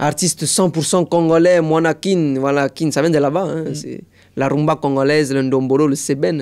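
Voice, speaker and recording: At a moderate pace, a man talks with a fairly high pitch. He has an unremarkable speaking voice. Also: fairly even intonation. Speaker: impressionist and sapologist. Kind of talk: interview answer.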